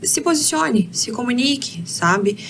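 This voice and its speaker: Noticeable background noise behind a woman's fairly high voice. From Brazil, interior of Paraná. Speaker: career mentor. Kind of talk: podcast interview. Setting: studio.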